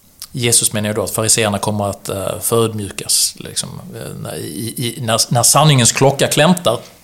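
The speaker uses lively intonation at a fairly slow pace. Noticeable background noise is present. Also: man. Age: 40s. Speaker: entrepreneur and author. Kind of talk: interview conversation.

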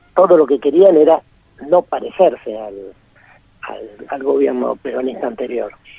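A man speaks at a moderate pace. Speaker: writer and journalist. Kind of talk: interview.

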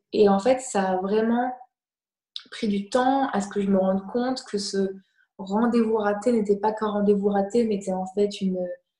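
Speaking at a moderate pace with long, frequent pauses, a woman uses a medium pitch, a dark, mellow tone, a somewhat breathy quality and monotone, flat intonation. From France. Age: 20s. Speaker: fashion model. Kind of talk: online talk interview.

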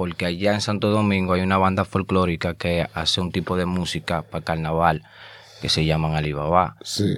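The voice belongs to a man. It sits very deep and low. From Dominican Republic (Azua, rural). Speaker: rapper. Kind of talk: casual interview chat; freestyle rap.

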